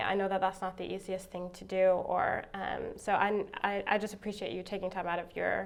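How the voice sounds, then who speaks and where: Moderate-paced female speech in a room with audible echo. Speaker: marriage and family therapist teaching a class. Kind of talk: lecture. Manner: hesitant, many fillers.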